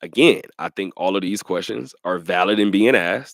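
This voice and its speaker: Animated in tone, a man with a fairly low pitch and vocal fry is recorded with a dry, close sound and no echo. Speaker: sports radio host. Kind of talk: casual chat. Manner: fast.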